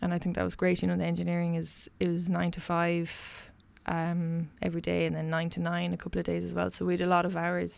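On a very clean recording with a silent background, a woman talks very fast in a western Irish accent. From Ireland, County Mayo (Westport). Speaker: engineer and solo sailor. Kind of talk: interview.

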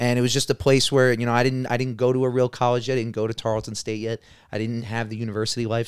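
The speech is delivered in a monotone, flat intonation, with a dry, close sound, no echo, and a very clean recording with a silent background. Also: man. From New York. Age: 20s. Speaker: podcast guest. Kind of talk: casual chat. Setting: home studio, in person.

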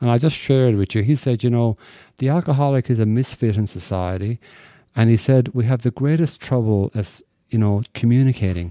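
In a very clean recording with a silent background and a dry, close sound with no echo, a man with an Irish accent speaks at a fairly quick pace with a medium pitch and ordinary pitch variation. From Ireland. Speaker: recovering alcoholic speaker. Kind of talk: testimony. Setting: stage with audience.

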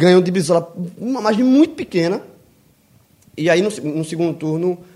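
A man speaks at a moderate pace with a Brazilian accent. His tone is dark and mellow, and his intonation is lively. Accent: regional Brazilian. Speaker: podcast co-host. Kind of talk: casual chat.

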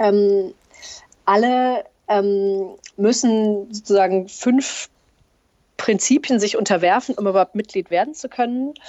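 With ordinary variation in her pitch, a woman talks in a fairly high register. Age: 40s. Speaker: bank employee. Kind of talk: interview. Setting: long-distance call. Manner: hesitant with many fillers.

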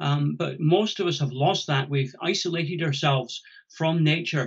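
A man with a Scottish accent talks in a somewhat breathy, fairly high voice with fairly even intonation. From Scotland. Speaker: ecologist and conservation charity founder. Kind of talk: interview.

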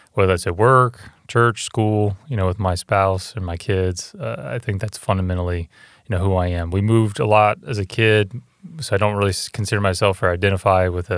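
With an American accent, a man talks in a normal speaking voice at a moderate pace, fairly low in pitch with ordinary pitch variation, on a very clean recording with a silent background. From North Carolina and Virginia. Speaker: hospital CEO. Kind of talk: interview.

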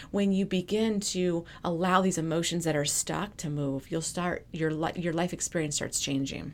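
A woman with an unremarkable speaking voice, fairly even intonation, a moderate pace and hardly any pauses. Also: fairly low pitch for a woman. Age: 40s. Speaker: emotional intelligence coach. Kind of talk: interview.

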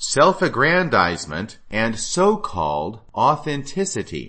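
A man's voice shows vocal fry and very wide pitch swings. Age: 50s. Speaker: podcast host. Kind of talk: solo commentary monologue.

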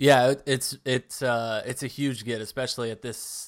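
Here a man talks at medium pitch in a monotone, flat intonation. The recording is very clean with a silent background. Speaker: sports podcast host. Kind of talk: casual sports chat.

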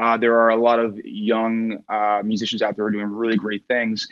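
This man has a plain, everyday voice at a medium pitch and talks at a fairly quick pace. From Newfoundland, Canada. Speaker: touring musician. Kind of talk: casual interview chat.

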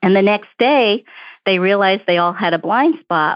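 A woman with a plain, everyday voice and an American accent, medium pitch, lively intonation and a fairly quick pace. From Brooklyn, New York. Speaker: diversity director at an accounting firm. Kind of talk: interview answers, professional conversation.

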